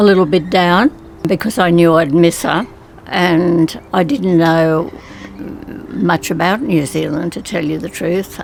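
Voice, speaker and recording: A woman with an Australian accent, fairly low in pitch with ordinary pitch variation, at a very slow pace with long, frequent pauses, over noticeable background noise. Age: 90s. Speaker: retiree. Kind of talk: interview testimony.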